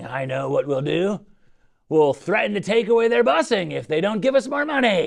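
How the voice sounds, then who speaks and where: A man uses a put-on character voice, pitched high, at a moderate pace with very wide pitch swings. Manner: mock-pirate, playful.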